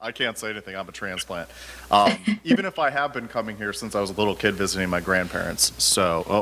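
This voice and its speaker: Quiet and fairly low in pitch, a man speaks at a very fast pace. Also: ordinary pitch variation. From Ohio. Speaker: podcast host. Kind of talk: casual interview chat.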